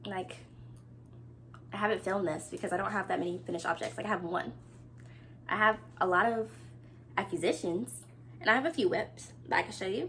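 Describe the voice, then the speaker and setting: Using a bright, sharp tone with vocal fry, a woman speaks at a fairly quick pace and a medium pitch with very wide pitch swings and long, frequent pauses. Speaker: knitting podcaster. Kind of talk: casual chat. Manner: animated.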